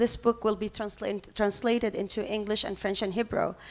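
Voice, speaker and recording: A woman with an Arabic accent speaks at a fairly high pitch. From Lebanon, Palestinian refugee camp in Beirut. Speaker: professor and activist. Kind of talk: conference panel talk. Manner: halting, many fillers.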